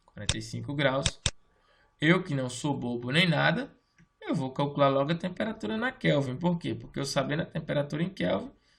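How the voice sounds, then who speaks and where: This man has a normal speaking voice, fairly high in pitch, with lively intonation at a moderate pace. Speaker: teacher. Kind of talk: lecture.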